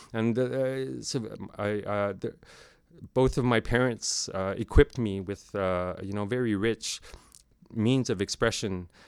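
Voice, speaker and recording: In a Canadian Arctic accent, a man speaks at a fairly slow pace on a very clean recording with a silent background. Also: fairly low pitch for a man, ordinary pitch variation. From Nunavut, Canadian Arctic. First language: Inuktitut. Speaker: sound and video artist. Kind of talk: recorded interview, conversational. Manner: halting, many fillers and repeats.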